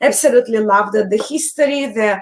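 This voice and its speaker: Woman with an Eastern European accent, high-pitched, at a moderate pace, with ordinary pitch variation. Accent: foreign accent, Eastern European. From Belarus. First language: Russian. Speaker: tarot YouTuber. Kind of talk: casual live chat.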